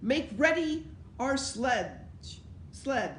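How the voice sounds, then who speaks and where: A woman speaks in a high-pitched, put-on character voice. Background noise is clearly audible. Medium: read story. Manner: imperious.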